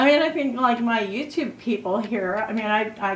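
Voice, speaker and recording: Amid noticeable background noise and audible room echo, a woman talks at a fairly slow pace with ordinary pitch variation. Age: 60s. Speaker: beauty vlogger. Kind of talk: casual chat.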